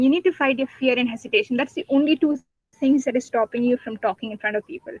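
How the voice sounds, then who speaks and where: In a Pakistani accent, a woman with a high voice speaks at a fairly quick pace with ordinary pitch variation. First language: Urdu. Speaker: debater and guest speaker. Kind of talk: webinar talk. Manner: halting, many fillers.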